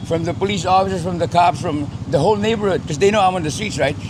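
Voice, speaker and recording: Over noticeable background noise, a man with a high voice and an American accent speaks with lively intonation. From Philippines, later grew up in West Covina, California. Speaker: deportee living in Manila. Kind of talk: casual interview chat.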